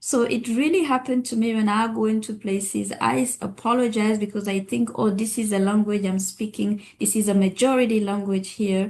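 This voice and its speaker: A woman with a West African accent talks at a fairly quick pace with hardly any pauses. Her pitch is fairly high with ordinary variation, and her loudness stays very even. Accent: Francophone West African. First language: French. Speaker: physician and public health expert. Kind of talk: webinar discussion.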